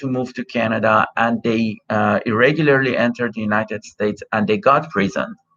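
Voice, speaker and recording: A man with a Persian accent talks at a fairly quick pace. His pitch is medium. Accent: Persian (Iranian) accent in English. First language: Persian (Farsi). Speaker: immigration consultant. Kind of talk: live Q&A stream. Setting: live stream over cell phone connection. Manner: many filler words (uh, um). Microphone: unreliable connection, streaming from cell phone.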